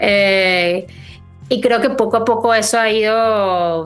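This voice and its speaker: This woman's intonation stays fairly level. Music plays behind her. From Venezuela, Caracas. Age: 30s. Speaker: writer. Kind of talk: interview. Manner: hesitant, many fillers.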